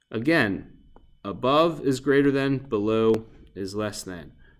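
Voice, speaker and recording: Very slow male speech with lively intonation. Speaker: math teacher. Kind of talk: recorded lesson tutorial. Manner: casual.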